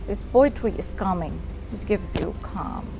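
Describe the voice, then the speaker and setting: A woman with an Indian accent speaks at medium pitch and a moderate pace. Noticeable background noise and audible room echo fill the recording. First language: Hindi. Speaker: poet and teacher. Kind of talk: TV interview.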